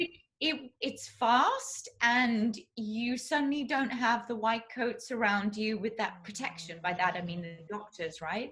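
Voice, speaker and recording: A woman with a southern English accent at a fairly slow pace, with hardly any pauses and lively intonation. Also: fairly high pitch for a woman. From southeast England. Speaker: classical crossover singer. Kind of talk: interview answer.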